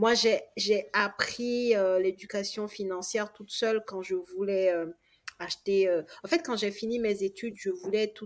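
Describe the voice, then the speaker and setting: A woman with an ordinary speaking voice, medium in pitch with ordinary pitch variation, at a fairly slow pace with big swings in loudness. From Togo. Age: 30s. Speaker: real estate investor and coach. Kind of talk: casual interview.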